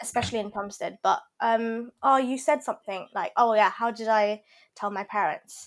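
A woman with a London accent, fairly high in pitch, at a moderate pace with ordinary pitch variation, on a very clean recording with a silent background. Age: 20s. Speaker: pharmacy graduate and cake business owner. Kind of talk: casual chat.

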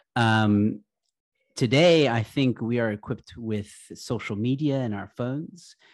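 At a fairly slow pace, a man with a plain, everyday voice and medium pitch speaks with ordinary pitch variation on a very clean recording with a silent background. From Texas and Egypt. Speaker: comedian and YouTuber. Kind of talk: interview conversation.

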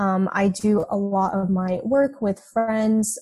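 With an American accent, a woman speaks in a medium pitch and a dark, mellow tone, somewhat breathy and with monotone, flat intonation. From Texas. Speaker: college student. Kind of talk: casual interview. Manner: hesitant, many ums.

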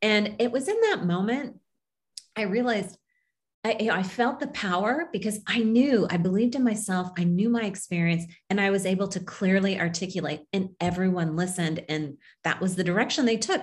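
On a very clean recording with a silent background, a woman with an American accent speaks at a fairly quick pace in a medium, somewhat breathy voice with ordinary pitch variation. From Kansas, small town. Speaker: leadership coach and business owner. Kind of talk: interview.

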